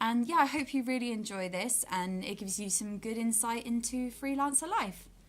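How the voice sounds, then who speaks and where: Against noticeable background noise, a woman with a fairly high pitch talks at a moderate pace with ordinary pitch variation and hardly any pauses. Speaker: actor and workshop facilitator. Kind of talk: vlog. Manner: animated.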